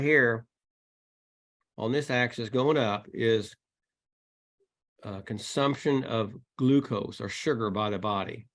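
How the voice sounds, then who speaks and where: Fairly slow delivery with ordinary pitch variation. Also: man. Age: 60s. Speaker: exercise physiology lecturer. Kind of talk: webinar lecture. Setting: online video call. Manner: halting with fillers.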